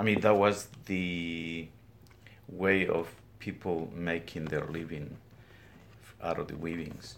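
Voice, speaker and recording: Very deep and low-pitched, a man's voice moves at a very slow pace with fairly even intonation and long, frequent pauses, with audible room echo around it. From Guatemala, highlands. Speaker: weaver. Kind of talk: interview. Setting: weaving studio.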